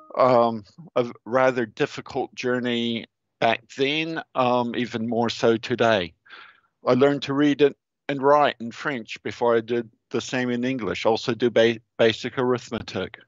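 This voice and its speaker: Over a quiet background, a man speaks at a fairly slow pace with fairly even intonation, the sound dry with no echo. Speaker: geotechnical engineer; speaker. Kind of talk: presentation. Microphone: headset.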